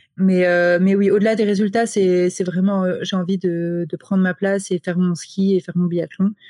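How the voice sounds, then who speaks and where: At a moderate pace, a woman speaks in a dark, mellow tone with monotone, flat intonation, the sound dry and close with no echo. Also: medium pitch for a woman. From France, French Alps (Grenoble). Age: 20s. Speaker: professional biathlete. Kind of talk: interview.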